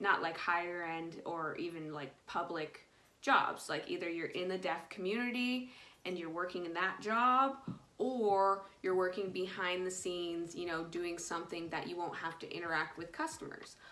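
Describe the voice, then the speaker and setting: With a non-native accent, a woman speaks at a moderate pace in a fairly low pitch, with ordinary pitch variation and audible room echo. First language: ASL. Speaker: ASL teacher. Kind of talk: casual vlog monologue. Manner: hesitant, many fillers.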